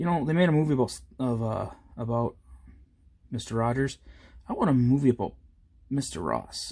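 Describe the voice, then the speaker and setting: Talking at a very fast pace, a man of medium pitch sounds somewhat breathy with a dark, mellow tone and ordinary pitch variation. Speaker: miniature painting youtuber. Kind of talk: tutorial. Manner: halting, stumbles over words; casual, chatty.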